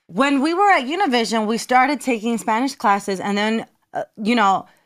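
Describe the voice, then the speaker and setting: A woman with an American accent has an unremarkable speaking voice, fairly high in pitch with lively intonation. She speaks at a moderate pace in a very clean recording with a silent background. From New Jersey. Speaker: TV and radio personality. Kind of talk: interview answer.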